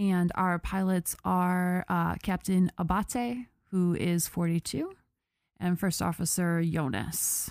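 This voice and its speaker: A woman with a Buffalo accent, fairly low in pitch, at a very slow pace and very even loudness. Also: very clean recording, silent background. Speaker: podcast host. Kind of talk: casual storytelling chat. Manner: animated, many fillers.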